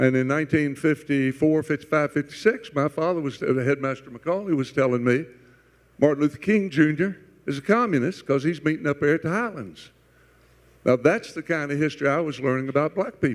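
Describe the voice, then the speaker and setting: Here a man speaks at a fairly quick pace, his fairly high pitch showing ordinary pitch variation. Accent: Southern US. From US South, Chattanooga. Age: 80s+. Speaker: panelist. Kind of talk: panel discussion.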